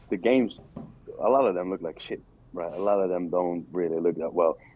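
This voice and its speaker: He has an unremarkable speaking voice. This man speaks at a moderate pace with ordinary pitch variation. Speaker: crypto investor guest. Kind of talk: casual interview chat.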